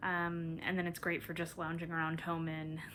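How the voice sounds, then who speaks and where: A woman with a fairly low pitch speaks at a moderate pace in an ordinary speaking voice. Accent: American. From US Midwest, Minnesota. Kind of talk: casual vlog monologue. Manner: relaxed, frequent ums.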